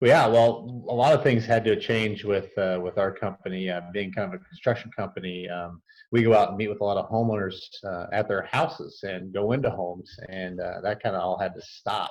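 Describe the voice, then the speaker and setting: With a plain, everyday voice, a man talks at a fairly quick pace and fairly low pitch, using ordinary pitch variation. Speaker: construction business owner. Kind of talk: interview answer.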